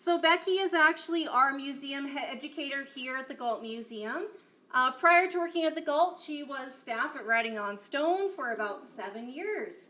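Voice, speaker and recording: A woman's bright, sharp voice sits high in pitch, raised and projected. Her intonation is lively, and her loudness swings widely. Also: moderate pace. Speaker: museum program coordinator. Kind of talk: event introduction. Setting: museum talk with live audience. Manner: projected teacher voice.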